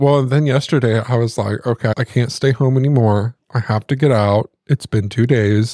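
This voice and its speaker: With a Midwestern accent, a man speaks at a medium pitch and a moderate pace, with a dark, mellow tone, fairly even intonation, very even loudness, hardly any pauses and a dry, close sound with no echo. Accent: rural Midwestern country twang. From US Midwest. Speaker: podcast co-host. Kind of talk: casual chat.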